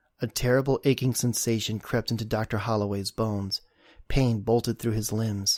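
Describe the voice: Fairly even intonation in plain reading aloud.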